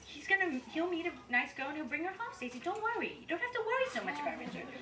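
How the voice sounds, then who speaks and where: Her pitch swings very widely as this woman speaks. The recording carries audible room echo and noticeable background noise. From South Africa and US. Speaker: wedding guest giving a toast. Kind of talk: toast speech. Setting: rehearsal dinner with audience. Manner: loud and talkative; halting.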